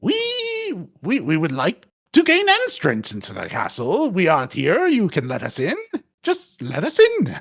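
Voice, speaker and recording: This is a put-on character voice. It moves along at a moderate speed. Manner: mannered, imitating the character.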